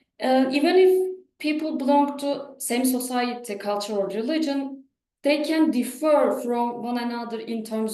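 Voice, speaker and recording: In a Turkish accent, a woman talks at a moderate pace and a high pitch with ordinary pitch variation, and audible room echo is present. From Turkey. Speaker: professor. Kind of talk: lecture. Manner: halting.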